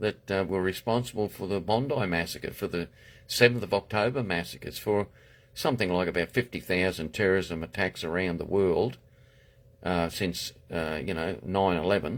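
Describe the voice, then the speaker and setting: In a very clean recording with a silent background, a man with a very deep, low voice speaks at a moderate pace with ordinary pitch variation. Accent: Queensland. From Australia, far north Queensland. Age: 70s. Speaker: political candidate. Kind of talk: political monologue livestream. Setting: Facebook live video. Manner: halting, many fillers and restarts.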